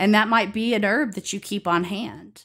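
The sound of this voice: A woman with an Alabama accent in a very clean recording with a silent background. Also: fairly bright tone. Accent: Alabama Southern American.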